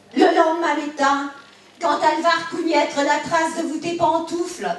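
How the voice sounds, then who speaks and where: A woman with a Bresse accent speaks at an extremely high pitch and a very slow pace. Noticeable background noise can be heard. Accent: rural Bresse patois. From Bresse, eastern France. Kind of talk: humorous storytelling.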